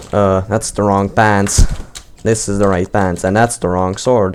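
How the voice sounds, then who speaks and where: A man with a non-native accent and fairly low pitch, at a moderate pace, with noticeable background noise. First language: not English. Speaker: gaming youtuber. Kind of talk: live gaming commentary. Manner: stuttering, repeats words; casual, unscripted.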